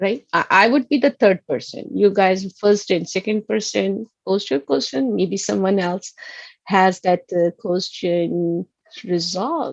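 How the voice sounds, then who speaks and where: A woman's medium-pitched voice with a Pakistani accent, in a dry, close sound with no echo. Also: ordinary pitch variation, fairly slow pace. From Pakistan, Karachi. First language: Urdu. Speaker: college instructor. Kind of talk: online lecture. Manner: halting.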